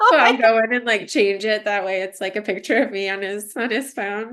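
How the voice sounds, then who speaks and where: A woman speaks in a fairly high voice at a moderate pace. She leaves hardly any pauses. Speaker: entrepreneur and mother. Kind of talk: casual interview chat. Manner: loud and energetic; halting with fillers.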